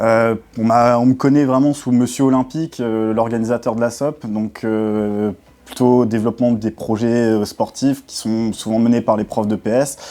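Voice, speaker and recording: A man speaks in a dark, mellow tone at a fairly slow pace. His intonation is monotone and flat. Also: medium pitch for a man. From France, Alsace (Saverne). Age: 20s. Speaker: school sports development officer. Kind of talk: interview answers. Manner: hesitant, many filler sounds.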